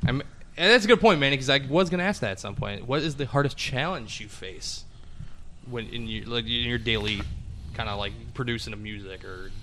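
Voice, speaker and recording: A bright, sharp tone with vocal fry, lively intonation and a fairly quick pace. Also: man, medium pitch for a man. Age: 20s. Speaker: podcast host. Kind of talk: casual chat. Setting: music studio.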